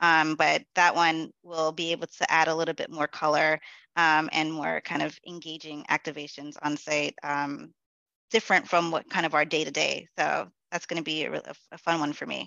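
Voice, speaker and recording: With vocal fry and a very deep, low pitch, a woman speaks at a moderate pace in a monotone, flat intonation. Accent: American. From New York City, the Bronx. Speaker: corporate event manager. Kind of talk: interview.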